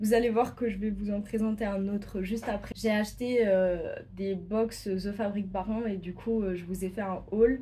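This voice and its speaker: Somewhat breathy and dark, mellow in tone, a woman talks at a fairly slow pace. Her intonation stays monotone and flat. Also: medium pitch for a woman. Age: 20s. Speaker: sewing YouTuber. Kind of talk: casual vlog presentation. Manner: hesitant, many fillers.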